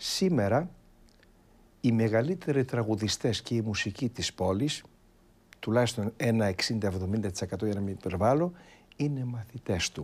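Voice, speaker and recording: A man's lively intonation at a fairly slow pace, with long, frequent pauses. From Istanbul, Turkey (Greek minority). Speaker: Byzantine church chanter; guest. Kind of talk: interview. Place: studio. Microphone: lapel.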